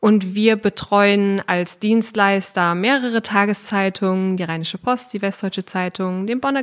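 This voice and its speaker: Speaking at a fairly slow pace, a woman of medium pitch has fairly even intonation and an unremarkable speaking voice. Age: 30s. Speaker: newspaper page planner. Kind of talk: interview.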